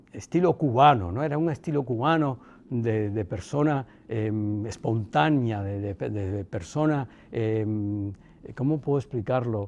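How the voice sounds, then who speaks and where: Over a quiet background, a man talks at a fairly slow pace. His medium-pitched voice has lively intonation. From Cuba. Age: 60s. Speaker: son of a former head of state. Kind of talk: interview. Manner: halting.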